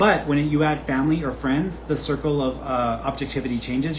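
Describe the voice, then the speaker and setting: A fairly high-pitched man at a fairly quick pace, with audible room echo and noticeable background noise. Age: 20s. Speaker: psychic medium. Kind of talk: live reading Q&A stream. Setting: livestream. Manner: casual, conversational.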